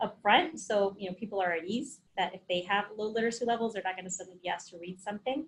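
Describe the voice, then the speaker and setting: A woman with a fairly high, somewhat breathy voice talks very fast. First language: Spanish. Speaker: occupational health trainer. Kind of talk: webinar presentation. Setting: online webinar. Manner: conversational.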